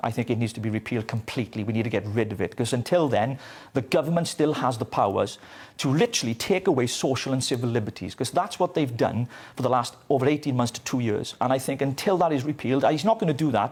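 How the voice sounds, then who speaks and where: Talking at a very fast pace, a man with a Welsh accent comes through on a very clean recording with a silent background. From Wales. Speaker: political commentator. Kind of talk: TV news interview.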